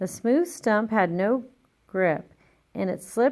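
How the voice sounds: A natural reading voice, its pitch varying an ordinary amount, comes through against a quiet background.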